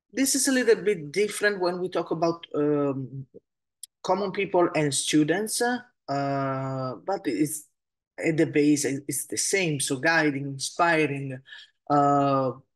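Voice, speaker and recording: A woman's very deep, low voice with lively intonation, at a very slow pace, over background music. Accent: Italian. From Italy. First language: Italian. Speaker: Pilates and movement teacher, podcast host. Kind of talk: solo podcast talk. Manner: halting, many fillers.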